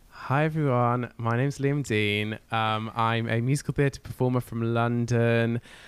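A man of medium pitch speaks in an English accent at a fairly slow pace with hardly any pauses. His intonation is monotone and flat, and his loudness stays very even. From northwest England (Cumbria). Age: 20s. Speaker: musical theatre performer and podcaster. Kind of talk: casual chat.

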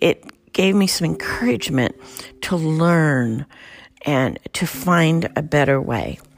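A woman talks at a very slow pace with a very deep, low pitch and ordinary pitch variation. Her loudness stays very even over noticeable background noise. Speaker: podcast host and meditation guide. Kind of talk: guided meditation.

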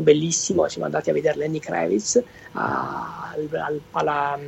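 Noticeable background noise surrounds a man who keeps a moderate pace. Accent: Basilicata. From southern Italy, Basilicata. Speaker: electric car travel blogger. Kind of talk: casual interview. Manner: halting, many repetitions.

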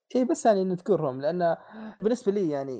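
Against a quiet background, a man with a high-pitched voice and a dark, mellow tone speaks with lively intonation. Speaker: podcast host. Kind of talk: casual chat.

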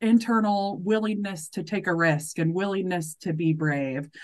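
Against a quiet background, a woman with an American accent speaks at a fairly slow pace. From US Midwest, central Missouri. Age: 30s. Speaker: nonprofit fundraiser. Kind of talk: casual interview chat.

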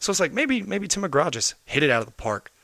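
A man with an American accent speaks at a fairly quick pace. His tone is bright and sharp, with lively intonation. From US South, Knoxville, Tennessee. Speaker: rock band lead singer. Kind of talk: casual chat.

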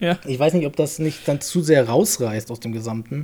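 The voice has a dark, mellow tone, is somewhat breathy, moves at a moderate pace and shows ordinary pitch variation. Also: man. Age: 30s. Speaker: games journalist. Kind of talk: casual chat.

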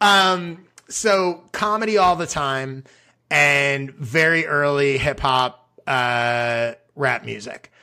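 Speaking very slowly, a man with an American accent uses lively intonation and a bright, sharp tone. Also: fairly high pitch for a man. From US Midwest, Chicago. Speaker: writer and creator coach. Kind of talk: casual interview chat.

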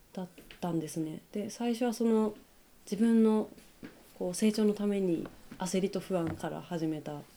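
A woman speaks in a dark, mellow tone. She leaves long, frequent pauses. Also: medium pitch for a woman, ordinary pitch variation, moderate pace. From Hokkaido, Japan (Kushiro). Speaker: apparel brand staff, community organizer. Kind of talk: casual interview. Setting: shop.

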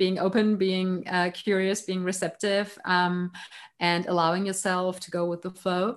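Against a quiet background, a woman with a German accent speaks at a fairly slow pace in a medium-pitched, monotone, flat voice. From Germany. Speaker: life coach. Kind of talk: interview. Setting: remote call.

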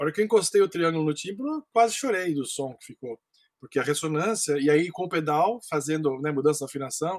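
A plain, everyday voice from a man, fairly high in pitch, with ordinary pitch variation at a fairly quick pace. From Brazil, Campinas (São Paulo state). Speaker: percussionist. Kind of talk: interview.

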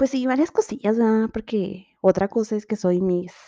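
A woman speaks in a Mexican accent with a dark, mellow tone. Her pitch varies in an ordinary way, and the sound is dry and close with no echo. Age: 20s. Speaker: podcast host. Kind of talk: casual monologue. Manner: animated.

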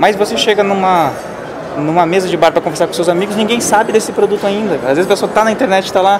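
A man with a high pitch at a very fast pace, very even loudness and ordinary pitch variation, amid audible room echo and noticeable background noise. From São Paulo state, Brazil. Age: 20s. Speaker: digital marketing specialist. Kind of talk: interview. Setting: at a marketing event.

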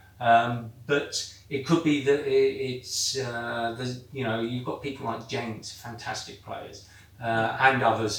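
Amid noticeable background noise and audible room echo, a man speaks fairly slowly at medium pitch, with fairly even intonation and big swings in loudness. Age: 50s. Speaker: weight-loss football programme member. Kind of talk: casual chat. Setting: hot indoor room. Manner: halting.

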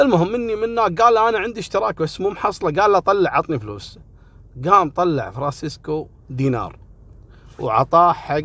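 A high-pitched man with a Kuwaiti accent, at a moderate pace, with very wide pitch swings. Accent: Kuwaiti Gulf Arabic. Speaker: storyteller. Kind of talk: storytelling monologue.

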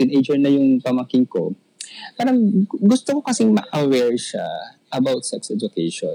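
A man's speech comes through dry and close with no echo, delivered at a moderate pace. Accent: Filipino. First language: Tagalog. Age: 40s. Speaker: caller. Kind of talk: casual chat.

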